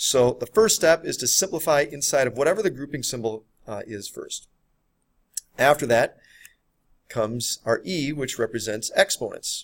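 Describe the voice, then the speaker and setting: A man talks at a fairly quick pace with big swings in loudness, recorded with a dry, close sound and no echo. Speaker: math teacher. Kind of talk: lecture. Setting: recorded video lesson. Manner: fast.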